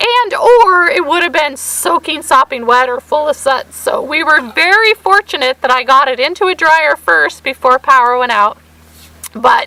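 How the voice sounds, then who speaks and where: A woman speaks in a raised, projected voice with high pitch and very wide pitch swings. Noticeable background noise is present. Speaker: vlogger. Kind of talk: casual chat.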